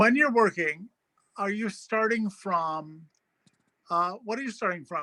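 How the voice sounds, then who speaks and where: Raising and projecting his voice, a man with an American accent speaks in a high pitch with a bright, sharp tone, ordinary pitch variation, a fairly slow pace and long, frequent pauses. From New York. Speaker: writer, curator and teacher. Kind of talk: conversational interview. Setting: video call from his apartment.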